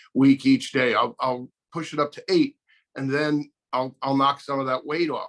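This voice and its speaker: In a dry, close recording with no echo, a man with a fairly high pitch and a normal speaking voice talks at a moderate pace with fairly even intonation. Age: 60s. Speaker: guest sharing diabetes experience. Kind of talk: interview.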